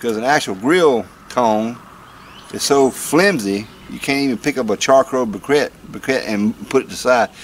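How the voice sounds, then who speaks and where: The voice belongs to a man. Light background noise can be heard. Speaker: vlogger. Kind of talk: casual vlog chat. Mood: wry, joking. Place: garden.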